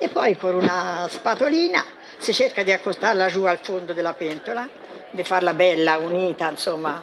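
A woman with fairly low pitch and ordinary pitch variation, at a moderate pace with few pauses, over faint background noise

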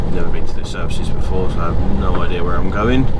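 Loud background noise surrounds a man as he talks. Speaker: truck driver vlogger. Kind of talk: casual vlog chat. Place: car. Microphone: phone near.

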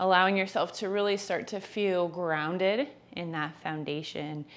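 Her pace is moderate as the woman speaks with ordinary pitch variation. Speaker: yoga teacher. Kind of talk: guided yoga instruction. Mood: calm, soothing. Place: home room.

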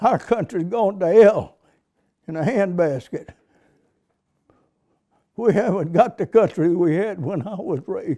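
With an American accent, the speaker talks at a fairly slow pace in a dark, mellow tone with ordinary pitch variation, big swings in loudness and long, frequent pauses against a quiet background. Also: man, high pitch for a man. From United States. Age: 80s+. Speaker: war veteran. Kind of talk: interview answer. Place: home room.

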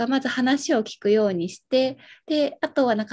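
Against a quiet background, a woman speaks at a fairly quick pace. Her pitch is high and her tone dark and mellow. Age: 20s. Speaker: medical social worker and childhood leukemia survivor; guest. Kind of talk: casual chat. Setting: live stream. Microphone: video call.

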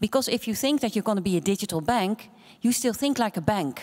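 A woman with a Dutch accent talks at a fairly quick pace with lively intonation against a quiet background. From Netherlands. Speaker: bank chief executive. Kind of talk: panel discussion. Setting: stage with audience. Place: hall. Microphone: handheld.

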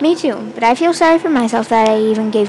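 This is an unforced reading voice. It is heard reading aloud.

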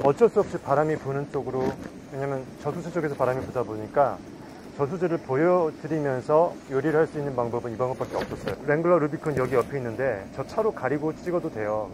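A man at a very fast pace with ordinary pitch variation, dry with no echo, amid noticeable background noise. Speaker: outdoor cooking vlogger. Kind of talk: casual cooking vlog chat. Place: waterside.

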